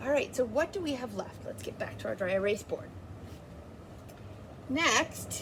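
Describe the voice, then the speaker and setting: Long, frequent pauses break up a woman's speech at a moderate pace. Noticeable background noise can be heard. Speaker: art teacher. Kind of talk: tutorial.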